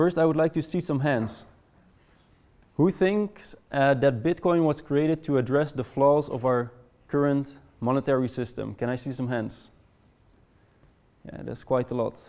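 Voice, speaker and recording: On a very clean recording with a silent background, a man with a Dutch accent speaks at a fairly high pitch and a moderate pace, with ordinary pitch variation and long, frequent pauses. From Netherlands. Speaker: conference presenter. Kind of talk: presentation to a live audience. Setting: room with live audience. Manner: hesitant, many fillers and repetitions.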